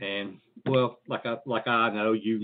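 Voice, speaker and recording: With an Appalachian accent, a man talks in a fairly even intonation. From Virginia, Appalachian Mountains. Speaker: podcast host. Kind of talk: casual chat.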